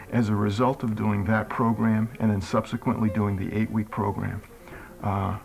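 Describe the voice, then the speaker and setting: Music plays in the background. The voice is monotone and flat, at a moderate pace. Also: man. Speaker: program participant. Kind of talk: testimony.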